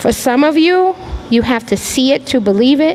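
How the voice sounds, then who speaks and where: A woman with a high voice talks at a moderate pace, her pitch swinging very widely, with noticeable background noise. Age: 50s. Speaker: artist panelist. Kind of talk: panel discussion. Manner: animated.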